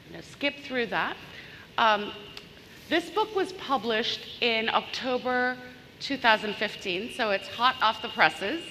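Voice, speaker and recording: The speaker has an animated tone and lively intonation at a fairly slow pace, with noticeable background noise behind the voice. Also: woman, high pitch for a woman. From Bangladesh. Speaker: business consultant and author. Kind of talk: conference keynote talk. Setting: stage with audience, large room. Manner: animated, engaging the audience.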